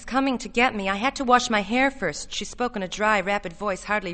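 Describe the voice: The text is read aloud plainly. Its pitch shifts by an ordinary amount.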